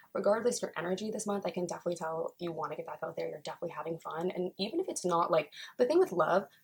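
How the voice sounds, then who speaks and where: The tone is animated and somewhat breathy. The speech moves at a very fast pace. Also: woman. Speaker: tarot reader. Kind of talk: casual tarot reading monologue.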